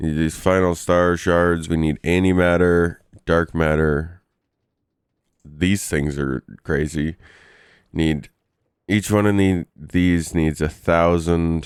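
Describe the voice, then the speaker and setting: A man with a very deep, low pitch speaks in a flat monotone. His pace is very slow, with long, frequent pauses. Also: very clean recording, silent background. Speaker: gaming youtuber. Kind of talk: gameplay commentary. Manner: casual, with filler hesitations.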